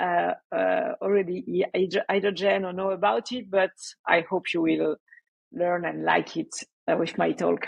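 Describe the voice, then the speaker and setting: A woman talks at a moderate pace. She speaks with a French accent. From France. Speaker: developer relations engineer. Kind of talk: conference talk. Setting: remote talk without live audience.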